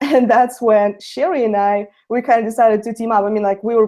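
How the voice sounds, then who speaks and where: Speaking with a Russian accent, a woman has a fairly high pitch, a dark, mellow tone and fairly even intonation. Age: young. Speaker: network marketer. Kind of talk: webinar testimony.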